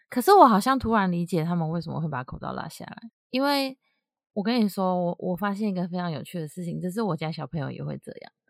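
A woman with a Taiwanese accent, fairly low in pitch, lively in intonation and fairly quick, on a very clean recording with a silent background. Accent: Taiwanese Mandarin. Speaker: podcast co-host. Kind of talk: casual chat.

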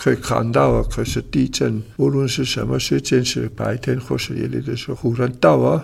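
With an Italian accent, a man talks with hardly any pauses. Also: moderate pace. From Switzerland, Italian-speaking region. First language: Italian (speaking Chinese). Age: 80s+. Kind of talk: interview. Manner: halting.

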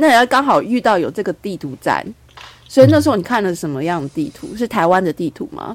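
Talking at a very fast pace, a woman swings her pitch very widely. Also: medium pitch for a woman. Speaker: podcast host. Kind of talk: casual chat.

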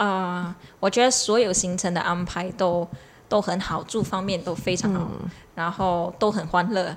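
A woman with a Malaysian accent speaks at a medium pitch with fairly even intonation. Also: moderate pace. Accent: Malaysian Chinese. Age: 20s. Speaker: triathlete. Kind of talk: casual chat.

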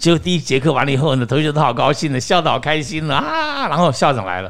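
Vocal fry runs through this man's voice. He speaks very fast. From Taiwan. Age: 60s. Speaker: actor and acting teacher. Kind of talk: interview storytelling. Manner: animated.

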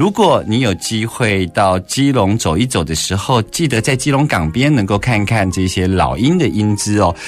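A man with a Taiwanese accent at a moderate pace. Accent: Taiwanese Mandarin. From Taiwan, Keelung. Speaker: radio host. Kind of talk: casual interview.

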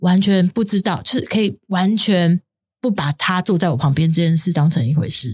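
A woman with a medium pitch and a somewhat breathy voice talks at a moderate pace with lively intonation, recorded very clean and dry, close with no echo, against a silent background. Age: 50s. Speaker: podcast co-host. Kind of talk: casual chat.

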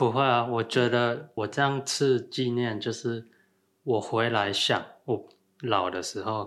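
A man with a plain, everyday voice at medium pitch, fairly slow and fairly even in intonation, on a very clean recording with a silent background. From Thailand and Taiwan. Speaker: rock climbing coach. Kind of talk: casual chat.

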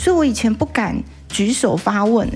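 Her pitch fairly high and her intonation lively, a woman speaks in a normal speaking voice. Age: 50s. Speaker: sex therapist and author. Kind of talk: interview. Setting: bookstore.

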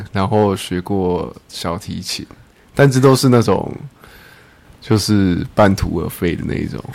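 A man with a fairly low voice speaks at a fairly slow pace, his loudness swinging widely, his pitch varying in an ordinary way, and his speech broken by long, frequent pauses. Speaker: host's husband, father of twins. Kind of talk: casual chat.

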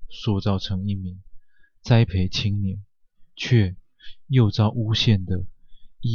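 A plain read-aloud passage.

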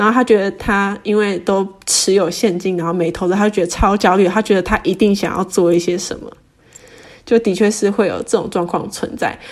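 Against noticeable background noise, a woman speaks at a medium pitch and a fairly quick pace. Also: fairly even intonation. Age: 20s. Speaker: personal finance Instagram creator. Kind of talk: casual interview.

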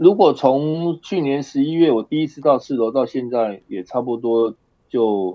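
Using an ordinary speaking voice, the speaker goes fairly slowly but with a lively, varied melody. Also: man, medium pitch for a man. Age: 60s. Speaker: high school performing arts teacher. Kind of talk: casual interview chat.

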